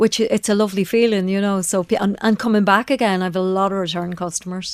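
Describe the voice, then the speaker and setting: A woman talks at a very fast pace with fairly even intonation. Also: medium pitch for a woman. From Northern Ireland, Belfast. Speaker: vintage shop owner. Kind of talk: radio interview. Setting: radio studio.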